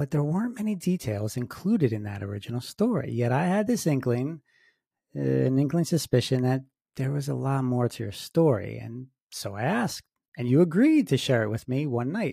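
In a very clean recording with a silent background, a man speaks at a medium pitch in a somewhat breathy, dark, mellow voice with lively intonation. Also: moderate pace. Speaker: paranormal podcast host and author. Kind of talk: interview with scripted intro. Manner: formal, measured.

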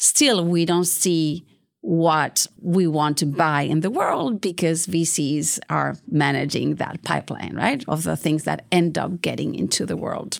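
There is vocal fry in a woman's fairly low voice as she speaks with hardly any pauses and ordinary pitch variation. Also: fairly slow pace. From Spain, Bilbao (Basque Country). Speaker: venture capital investor. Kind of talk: interview.

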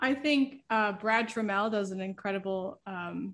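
A woman with an American accent speaks at a fairly slow pace and a fairly high pitch, with ordinary pitch variation, in an unremarkable speaking voice. The background is quiet. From Pennsylvania, Lehigh Valley. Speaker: painter. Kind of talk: casual interview chat.

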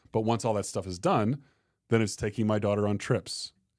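On a very clean recording with a silent background, a man with an American accent and an unremarkable speaking voice talks fairly quickly at a fairly low pitch. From Arizona. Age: 40s. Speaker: entrepreneur and business coach. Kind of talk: casual interview chat. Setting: in-person studio.

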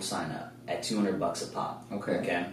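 Noticeable background noise fills the recording. The voice comes in an American accent. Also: man. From Kansas City, US Midwest. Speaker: forex trader and entrepreneur. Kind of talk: casual interview.

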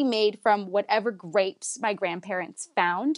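A woman in an Ontario accent at a moderate pace, dry and close with no echo, over a quiet background. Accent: Canadian (Ontario). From Canada, Woodbridge near Toronto. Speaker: sommelier. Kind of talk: interview.

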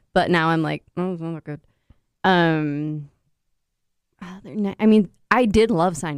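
A woman's fairly low voice at a fairly slow pace, with ordinary pitch variation, long, frequent pauses, big swings in loudness and a dry, close sound with no echo. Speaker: podcast co-host. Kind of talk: casual chat. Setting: studio. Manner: moves away from mic, sometimes hard to hear.

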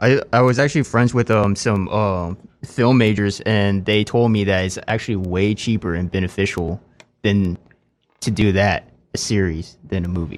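The speaker talks with an American accent at a moderate pace and with ordinary pitch variation. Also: man, fairly low pitch for a man. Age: 20s. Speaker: musician. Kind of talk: casual chat.

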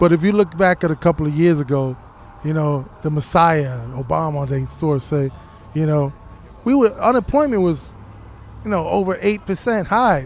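A man talks at a fairly high pitch with ordinary pitch variation. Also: moderate pace.

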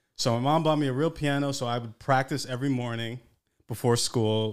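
Very cleanly recorded against a silent background, a man with an American accent speaks at a moderate pace in a plain, everyday voice, his intonation fairly even. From New York City. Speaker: podcast co-panelist. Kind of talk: casual chat.

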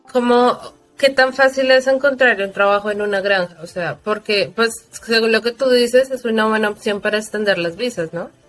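Through noticeable background noise, a woman speaks in a fairly high voice. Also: ordinary pitch variation, moderate pace. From Colombia, Bogotá. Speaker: podcast host, advertising professional. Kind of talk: casual interview.

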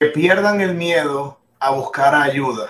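A man with a fairly high pitch speaks at a very slow pace, with ordinary pitch variation. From Venezuela, Maracaibo. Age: 40s. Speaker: entrepreneur and e-commerce consultant. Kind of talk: radio interview.

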